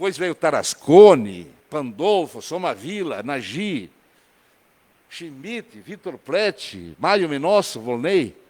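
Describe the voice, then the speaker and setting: A man's fairly high voice at a very slow pace, with very wide pitch swings and big swings in loudness. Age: 70s. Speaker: city councillor. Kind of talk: council session speech. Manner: halting, repeats words.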